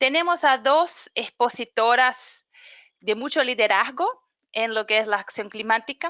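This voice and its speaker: Speaking with a Brazilian accent, a woman uses a high pitch and a bright, sharp tone at a fairly slow pace. The sound is dry and close with no echo, against a quiet background. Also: ordinary pitch variation. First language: Portuguese (speaking Spanish). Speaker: webinar moderator, climate program manager. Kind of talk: webinar introduction. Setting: online webinar.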